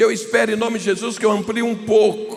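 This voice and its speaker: A man with a high voice keeps a moderate pace while noticeable noise sounds in the background. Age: 60s. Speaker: pastor. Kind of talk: sermon. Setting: stage with audience.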